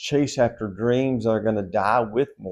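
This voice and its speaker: This man speaks with a Southern US accent. His tone is dark and mellow, and his pace is fairly slow. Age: 60s. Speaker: pastor. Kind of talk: devotional Bible teaching. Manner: conversational.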